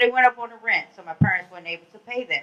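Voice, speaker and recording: A woman speaks at a very fast pace. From Washington DC. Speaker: community advocate. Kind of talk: panel talk. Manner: loud.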